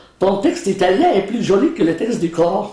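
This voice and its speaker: At a moderate pace, a man talks with an Arabic accent. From West Bank, Palestine. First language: Arabic (speaking French). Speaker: law professor and Quran translator. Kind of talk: interview.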